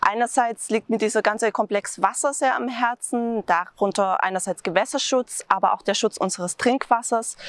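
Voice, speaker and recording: In a dry sound with no echo and a quiet background, a woman talks at a moderate pace with a fairly high pitch and ordinary pitch variation. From Swabia, Germany (Tübingen); Swabia, Germany. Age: 30s. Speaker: local election candidate; election candidate. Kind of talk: campaign self-introduction. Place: open country. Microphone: lapel.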